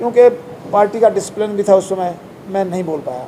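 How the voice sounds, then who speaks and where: A man talks with a high pitch and ordinary pitch variation, and noticeable background noise is audible behind him. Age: 70s. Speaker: politician. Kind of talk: press interview.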